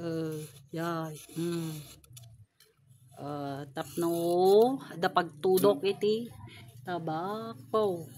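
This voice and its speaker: Lively intonation runs through a woman's fairly low voice with a dark, mellow tone. She speaks at a very slow pace with long, frequent pauses. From La Union, Philippines. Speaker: daughter filming her father. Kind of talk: casual talk to camera.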